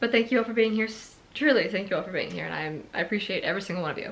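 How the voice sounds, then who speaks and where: A woman speaks at a medium pitch with lively intonation over noticeable background noise. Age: 20s. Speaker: book vlogger. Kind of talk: casual talk to camera.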